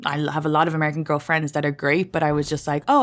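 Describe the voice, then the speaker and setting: A woman speaks with an Irish accent in a very deep, low pitch. The recording is very clean, with a silent background. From Ireland, small town. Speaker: comedian. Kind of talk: podcast interview. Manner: casual, lots of fillers.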